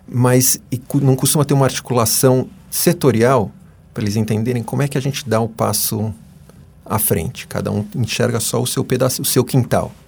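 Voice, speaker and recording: A man's voice with vocal fry at a moderate pace. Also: medium pitch for a man, ordinary pitch variation. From Brazil, São Paulo city. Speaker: economics professor. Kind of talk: interview. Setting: radio studio.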